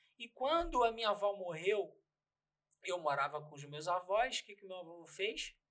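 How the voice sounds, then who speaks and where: A man speaks with a high voice and big swings in loudness. His intonation is lively and his pace moderate. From Pernambuco, raised in Rio de Janeiro. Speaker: dubbing studio owner. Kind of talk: casual interview. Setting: studio.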